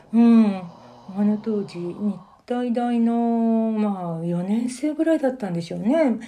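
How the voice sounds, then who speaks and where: At a fairly slow pace, the voice moves with ordinary pitch variation in a dark, mellow tone. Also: woman, fairly high pitch for a woman. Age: 70s. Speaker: elderly interviewee telling life story. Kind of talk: interview, life-story recounting.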